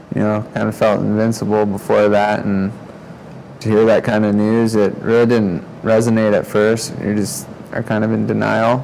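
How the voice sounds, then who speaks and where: Noticeable background noise sits under a man's fairly low voice. He speaks at a moderate pace with monotone, flat intonation. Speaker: spinal cord injury survivor. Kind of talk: testimony. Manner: quiet, can't raise voice.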